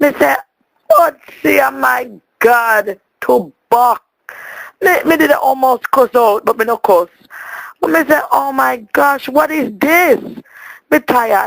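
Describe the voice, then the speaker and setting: A woman speaks in a Jamaican accent at a high pitch, with very wide pitch swings. Her very slow pace holds long, frequent pauses, and the sound is dry and close with no echo. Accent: Jamaican patois. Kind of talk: voicemail message to a friend. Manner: animated, comedic storytelling.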